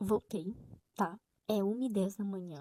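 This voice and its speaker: A woman whispers in a somewhat breathy voice, the sound dry and close with no echo. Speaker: book vlogger. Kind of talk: casual vlog. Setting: home, late at night. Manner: whispering.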